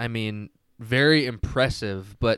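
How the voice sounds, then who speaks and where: This is a normal speaking voice. The sound is dry and close with no echo, on a very clean recording with a silent background. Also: man. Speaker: fantasy football podcast co-host. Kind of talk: casual chat.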